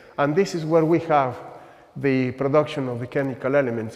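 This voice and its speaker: Over noticeable background noise, a man with a fairly high voice speaks at a fairly quick pace with ordinary pitch variation. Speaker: astronomer giving a talk. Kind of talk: lecture. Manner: halting.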